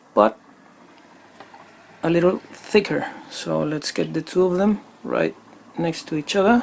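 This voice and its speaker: With a non-native accent, a man speaks at a fairly slow pace with long, frequent pauses against noticeable background noise. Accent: non-native English speaker. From Chile. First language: Spanish. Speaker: airgun hobbyist YouTuber. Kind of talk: product demo tutorial. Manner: halting with frequent fillers.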